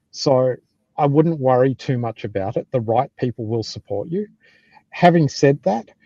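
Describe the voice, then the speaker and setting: Speaking with an Australian accent, a man has a dark, mellow tone at medium pitch and a moderate pace. His pitch varies in an ordinary way, and the sound is dry and close with no echo against a quiet background. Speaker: software development manager. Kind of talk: live panel discussion.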